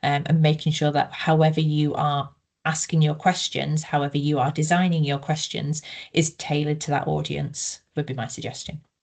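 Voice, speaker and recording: A woman with a northeast English accent speaks at a fairly quick pace with very deep, low pitch. Her voice is somewhat breathy, with monotone, flat intonation. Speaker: researcher, co-author presenting. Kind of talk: webinar Q&A discussion.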